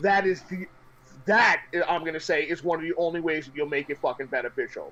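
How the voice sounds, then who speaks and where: Over background music, a man with a New York accent speaks very fast in an intense, high-pitched tone, with ordinary pitch variation and big swings in loudness. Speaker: gaming streamer. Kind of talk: casual chat. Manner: loud, intense; animated.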